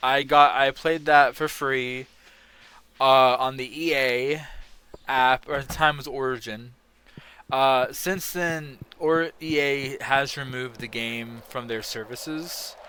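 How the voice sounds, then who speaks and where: In a very clean recording with a silent background, a man speaks loud and very slowly at a medium pitch, his tone bright and sharp and his intonation fairly even. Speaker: gaming streamer. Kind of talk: casual gaming rant on stream. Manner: hesitant, many fillers.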